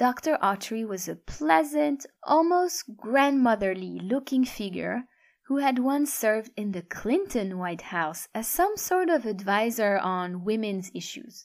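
On a very clean recording with a silent background, a woman speaks at a fairly high pitch and a fairly slow pace. Her pitch swings very widely, and she hardly pauses. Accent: French. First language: French. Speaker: audiobook narrator. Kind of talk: audiobook narration.

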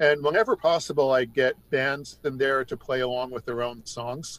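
With an American accent and an unremarkable speaking voice, a man talks at a moderate pace and medium pitch in a dry, close sound with no echo. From New York State. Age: 60s. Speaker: music writer. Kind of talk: casual chat. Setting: remote call.

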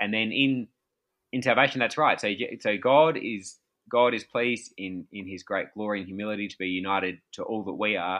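A fairly quick man's voice, fairly low in pitch, with ordinary pitch variation, big swings in loudness, and an Australian accent. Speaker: pastor and author. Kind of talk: interview conversation. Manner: hesitant, many fillers.

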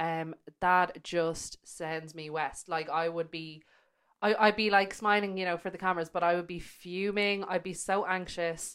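At a moderate pace, a woman with an Irish accent speaks in a fairly low voice with monotone, flat intonation. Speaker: podcast co-host, magazine editor. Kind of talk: casual chat.

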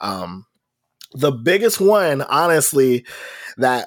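A man with a normal speaking voice, fairly slow and lively in intonation, on a very clean recording with a silent background. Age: 30s. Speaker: nerdcore rapper and trombonist. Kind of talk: casual chat.

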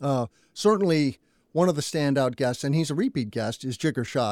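In an ordinary speaking voice, a man talks at a fairly quick pace with ordinary pitch variation, the sound dry and close with no echo on a very clean recording with a silent background. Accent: American. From US Southwest (New Mexico). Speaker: solar industry podcaster. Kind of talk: interview.

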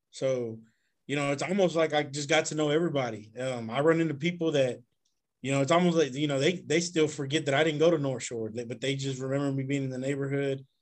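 Fairly even intonation marks a man's very fast speech in a fairly high pitch. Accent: Texan. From Houston east side, Texas. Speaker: high school football coach. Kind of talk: casual interview chat.

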